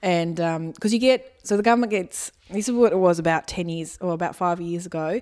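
Speaking with an Australian accent, a woman at a fairly low pitch talks at a fairly quick pace with hardly any pauses. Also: ordinary pitch variation. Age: 30s. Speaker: comedian and former teacher. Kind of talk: casual chat.

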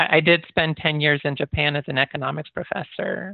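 A man speaks with a Midwestern American accent. His pitch variation is ordinary. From US Midwest (Michigan and Iowa). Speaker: professor. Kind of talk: interview.

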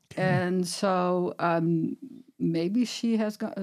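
The speaker is a woman with a fairly low pitch. Her pitch variation is ordinary. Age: 60s. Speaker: clinical nutritionist and herbalist. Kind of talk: interview conversation. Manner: halting, many fillers.

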